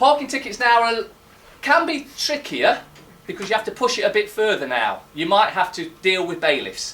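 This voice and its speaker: Loud and fairly quick, a man talks with very wide pitch swings, and room echo can be heard. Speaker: conference speaker. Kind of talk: public talk. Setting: stage with audience. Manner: halting.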